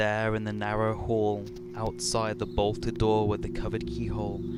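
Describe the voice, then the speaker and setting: A man's voice over noticeable background noise. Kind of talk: dramatic reading of a horror story.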